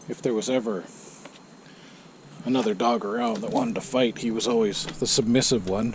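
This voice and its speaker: Over noticeable background noise, a man with a medium pitch talks at a fairly quick pace, with fairly even intonation and long, frequent pauses. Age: 60s. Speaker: motorcycle vlogger. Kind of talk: casual monologue. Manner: hesitant, many fillers.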